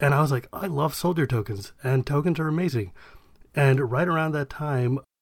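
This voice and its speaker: A man with a medium pitch and ordinary pitch variation sounds somewhat breathy in a very clean recording with a silent background. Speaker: podcast co-host. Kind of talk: casual banter about card game.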